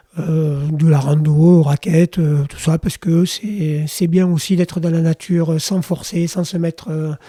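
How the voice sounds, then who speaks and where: A man's fairly high-pitched, dark and mellow voice, fairly slow and flat in a monotone, with a dry, close sound and no echo. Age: 60s. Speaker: cycling and outdoor industry professional. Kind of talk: podcast interview.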